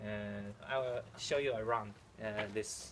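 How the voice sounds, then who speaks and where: Over noticeable background noise, a man with a Chinese accent speaks in a fairly low pitch with fairly even intonation. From China. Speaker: amateur archer. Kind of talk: casual video vlog. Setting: outdoors at archery field. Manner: halting, many fillers.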